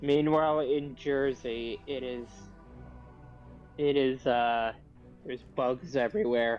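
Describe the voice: With music in the background, a man at medium pitch speaks very slowly with fairly even intonation and long, frequent pauses.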